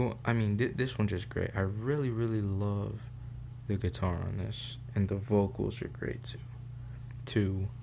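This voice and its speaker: A man talks at a moderate pace with very wide pitch swings, and audible room echo surrounds his voice. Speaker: music review youtuber. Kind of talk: casual album review monologue. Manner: halting, repetitive fillers.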